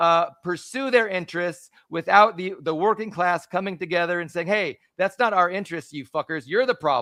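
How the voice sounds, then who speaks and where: A man shouting loudly at a high pitch, bright and sharp in tone, at a moderate pace with hardly any pauses. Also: ordinary pitch variation. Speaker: podcast co-host. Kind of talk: live-streamed political discussion. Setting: live stream with remote co-host. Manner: loud, yelling; animated, halting with restarts.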